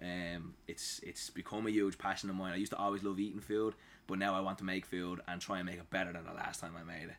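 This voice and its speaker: A Dublin accent at a very fast pace in monotone, flat intonation. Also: man, very deep, low pitch for a man. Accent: Dublin Irish. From Ireland, Dublin. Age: 30s. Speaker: home cook. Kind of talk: casual chat.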